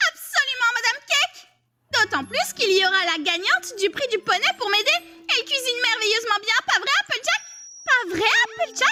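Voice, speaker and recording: A female-sounding voice performs a cartoonish character at an extremely high pitch. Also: moderate pace. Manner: bubbly.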